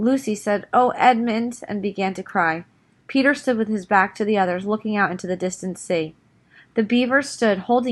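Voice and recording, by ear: Reading aloud in a natural voice, the pitch varying in an ordinary way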